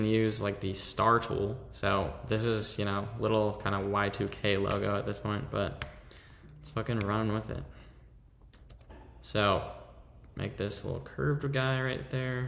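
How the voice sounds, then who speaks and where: A man with a fairly low voice talks at a moderate pace with ordinary pitch variation and long, frequent pauses, in a room with audible echo. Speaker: fashion design tutorial creator. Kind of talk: screen-recorded software tutorial.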